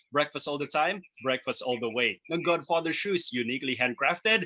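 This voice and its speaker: A man at a fairly high pitch, moderate pace and ordinary pitch variation, with a plain, everyday voice. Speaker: radio host. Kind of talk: show intro and sponsor reads. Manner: upbeat.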